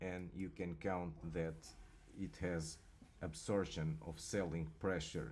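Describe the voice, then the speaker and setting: A man's very deep, low voice at a very slow pace, with ordinary pitch variation and audible room echo. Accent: non-native. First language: not English. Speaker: crypto market analyst. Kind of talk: market analysis commentary. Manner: halting, repeats words.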